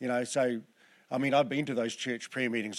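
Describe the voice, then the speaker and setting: Speaking very fast with a Southland accent, a man keeps a medium pitch and fairly even intonation in a very clean recording with a silent background. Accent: New Zealand, Southland. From New Zealand, Southland. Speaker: preacher. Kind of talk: sermon. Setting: church.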